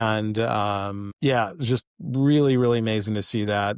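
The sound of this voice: A man with an American accent speaks at a moderate pace, with fairly low pitch and vocal fry. The sound is dry and close with no echo. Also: very clean recording, silent background.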